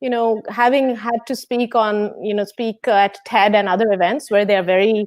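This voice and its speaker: A woman with a Bengali accent speaks at a fairly high pitch. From India, West Bengal. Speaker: physics professor. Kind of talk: interview. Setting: video call.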